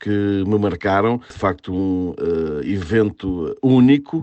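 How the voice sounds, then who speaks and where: This man talks in a fairly low pitch with ordinary pitch variation. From Portugal, inland Algarve. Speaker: sports journalist. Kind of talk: interview. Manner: halting.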